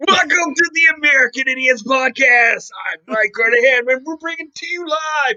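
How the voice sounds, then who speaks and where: A put-on character voice, high in pitch, at a moderate pace with hardly any pauses. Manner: enthusiastic.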